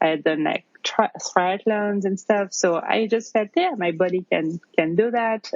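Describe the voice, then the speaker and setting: Fairly slow speech from a woman in a French accent, with ordinary pitch variation. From France, near Paris. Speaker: new mother and yoga teacher. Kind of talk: interview testimony. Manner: hesitant, many fillers.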